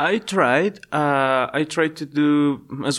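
A man in a Spanish accent speaks in a fairly high pitch with ordinary pitch variation, on a very clean recording with a silent background. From Ecuador, Quito. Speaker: volunteer teacher. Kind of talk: interview. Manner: hesitant, many fillers.

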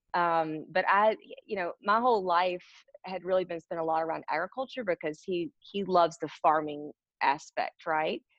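A woman speaks in a normal speaking voice at a moderate pace. Her pitch is fairly low and varies in an ordinary way. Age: 30s. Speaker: business owner. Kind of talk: interview.

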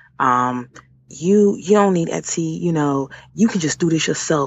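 Through noticeable background noise, a woman speaks with lively intonation at a fairly low pitch. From Washington D.C. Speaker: entrepreneur. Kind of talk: interview. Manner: hesitant, many filler words.

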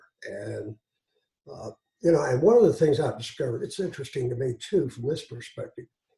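A man's somewhat breathy voice, fairly high in pitch, with a dark, mellow tone, lively intonation, big swings in loudness and a fairly quick pace. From Eastern Kentucky, Floyd County. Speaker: physician and journal editor. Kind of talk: interview. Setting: video call.

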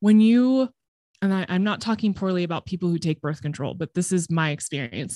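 A woman with a Californian accent, her fairly low voice dark and mellow, fairly quick and lively in intonation, in a very clean, dry, close recording with a silent background and no echo. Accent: Californian American English. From Southern California. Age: 30s. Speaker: podcast producer. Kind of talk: casual interview chat.

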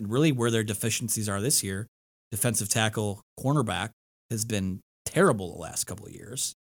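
A normal speaking voice with an American accent, ordinary pitch variation and a moderate pace. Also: man. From Michigan. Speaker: sports podcast host and producer. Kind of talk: casual sports talk interview. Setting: studio.

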